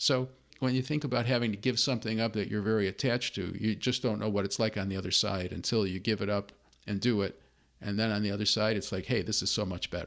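A man with an American accent, fairly low pitch and fairly even intonation, at a very fast pace, on a very clean recording with a silent background. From US Midwest, Chicago. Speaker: consultant for nonprofits, former professor. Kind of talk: interview, personal testimony.

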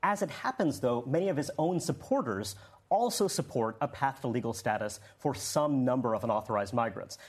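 Somewhat breathy, a man talks at medium pitch and a fairly quick pace with very even loudness. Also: lively intonation. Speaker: political analyst. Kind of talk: panel discussion. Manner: measured, analytical.

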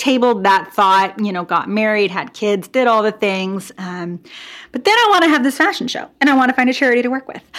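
A woman with an American accent has an unremarkable speaking voice, a fairly high pitch and lively intonation at a fairly quick pace. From US Pacific Northwest, Portland, Oregon. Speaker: boutique owner and clothing designer, former physical therapist. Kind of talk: interview conversation.

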